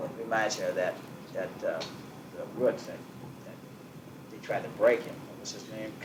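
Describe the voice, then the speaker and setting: Amid noticeable background noise and audible room echo, a man with an American accent speaks at a moderate pace with long, frequent pauses and big swings in loudness. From US Northeast. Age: 60s. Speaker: business owner. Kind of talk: oral history interview. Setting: at home.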